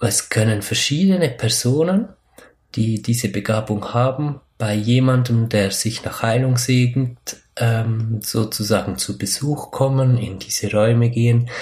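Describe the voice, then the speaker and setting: A man's somewhat breathy, medium-pitched voice, fairly slow, with ordinary pitch variation. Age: 30s. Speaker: spiritual podcast host. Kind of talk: solo podcast monologue. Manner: hesitant, many fillers.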